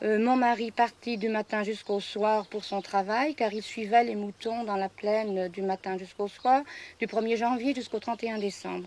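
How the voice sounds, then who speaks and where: On a very clean recording with a silent background, a woman speaks at a moderate pace with a fairly high pitch and fairly even intonation. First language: regional patois (speaking French). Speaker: farmer. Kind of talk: interview testimony. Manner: hesitant, many fillers.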